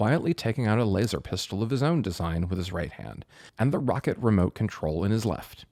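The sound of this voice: Someone reads in an unforced reading voice. The intonation moves in a lively way.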